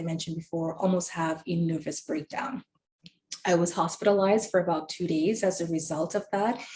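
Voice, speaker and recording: A woman speaks at a moderate pace with a fairly low pitch. Her voice is somewhat breathy. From Trinidad. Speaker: webinar panelist sharing mental health story. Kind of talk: personal testimony. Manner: hesitant with frequent fillers.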